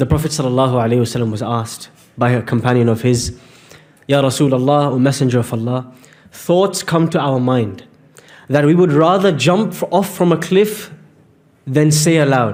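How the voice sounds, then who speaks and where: A man with an ordinary speaking voice and a fairly high pitch talks at a fairly slow pace with lively intonation. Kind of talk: religious lecture / sermon to an audience. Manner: earnest, explanatory.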